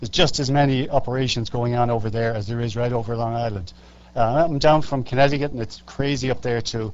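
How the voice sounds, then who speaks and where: Audible room echo surrounds a man with an Irish accent who talks at a very fast pace with medium pitch and fairly even intonation. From Ireland. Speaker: public commenter at hearing. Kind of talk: public hearing testimony. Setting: public hearing before county legislature. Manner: hesitant, many fillers.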